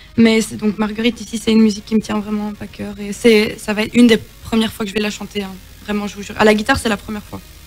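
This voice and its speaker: A woman's fairly high voice at a very fast pace, monotone and flat, with big swings in loudness and music in the background. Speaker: singer. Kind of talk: casual chat.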